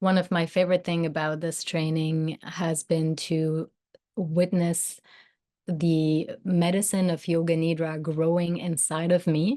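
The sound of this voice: Speaking at a fairly slow pace, a woman uses a low pitch with little pitch movement and a dark, mellow tone.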